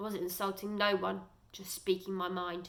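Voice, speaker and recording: Putting on a character voice, a woman sounds grumpy and raspy at a medium pitch and a moderate pace. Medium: read story. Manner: grumpy, sulky.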